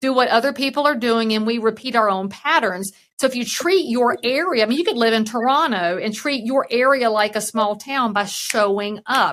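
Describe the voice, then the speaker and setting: A woman with a Southern US accent speaks at a fairly high pitch with ordinary variation. Her pace is moderate, with hardly any pauses. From US South. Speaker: real estate broker and keynote speaker. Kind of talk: podcast interview.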